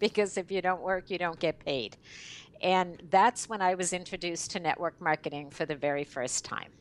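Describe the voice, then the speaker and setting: An unremarkable speaking voice belongs to a woman at medium pitch, talking at a moderate pace with ordinary pitch variation. The recording is very clean and dry, close with no echo and a silent background. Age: 60s. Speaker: network marketing leader. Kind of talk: interview.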